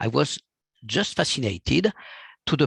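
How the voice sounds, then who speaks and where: A man with a French accent talks at a fairly slow pace in a somewhat breathy voice, the sound dry and close with no echo. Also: quiet background. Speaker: physician. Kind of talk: lecture. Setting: video call.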